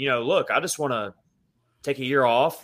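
Fairly quick in pace, a man uses a plain, everyday voice at a medium pitch with ordinary pitch variation. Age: 30s. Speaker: hockey podcast host. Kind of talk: casual chat.

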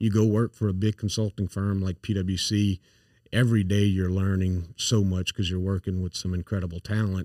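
In a strong Louisiana accent, a man speaks at a fairly low pitch in a dark, mellow tone with monotone, flat intonation, the recording very clean with a silent background and a dry, close sound with no echo. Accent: thick Louisiana Cajun-area Southern. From Louisiana, Acadiana (St. Landry Parish). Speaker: CEO and founder of consulting firm. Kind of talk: casual podcast interview.

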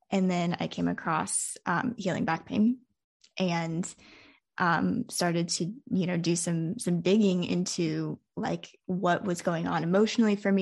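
An unremarkable speaking voice from a woman, fairly low in pitch, with fairly even intonation, a moderate pace and a quiet background. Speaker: podcast host. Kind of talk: casual interview conversation.

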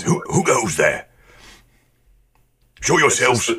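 A man puts on a gruff character voice. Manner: gruff, challenging.

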